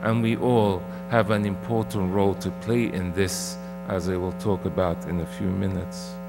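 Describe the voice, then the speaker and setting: A man talks rather slowly while noticeable noise sits in the background. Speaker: clergyman preaching. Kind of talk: sermon. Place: church. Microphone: podium.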